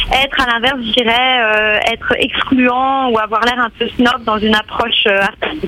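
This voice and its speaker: Over noticeable background noise, a woman speaks at a fairly slow pace in a high pitch with fairly even intonation. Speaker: art curator. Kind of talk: radio interview. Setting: phone call.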